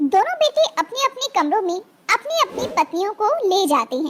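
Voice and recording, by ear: A woman talks at an extremely high pitch with big pitch swings. Her pace is fairly quick. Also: fairly bright tone.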